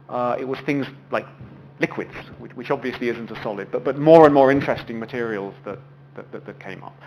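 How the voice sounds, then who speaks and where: Speaking fairly quickly, a man uses a voice of medium pitch. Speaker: physics lecturer. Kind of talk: lecture. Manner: fast; halting, repeats words.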